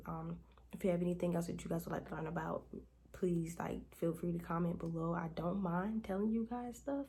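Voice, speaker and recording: A woman talks at a fairly quick pace with a somewhat breathy voice and fairly low pitch. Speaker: beauty and lifestyle youtuber, boutique owner; lifestyle youtuber. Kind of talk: tutorial. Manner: fast; casual. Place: home room. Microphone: phone near.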